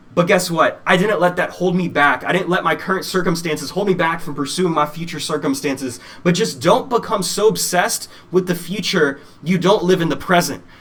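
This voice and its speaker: A man with a high voice talks at a fairly quick pace over noticeable background noise. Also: ordinary pitch variation. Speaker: motivational speaker. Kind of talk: keynote speech. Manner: fast; animated.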